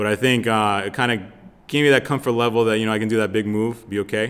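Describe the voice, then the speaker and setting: A man's fairly low-pitched, plain, everyday voice with an American accent, fairly even intonation, and a fairly quick pace. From Lowell, Massachusetts, US. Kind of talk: interview.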